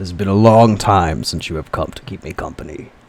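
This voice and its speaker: A booming put-on character voice from a man, fairly low in pitch and fairly quick in pace. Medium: actual play. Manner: scornful.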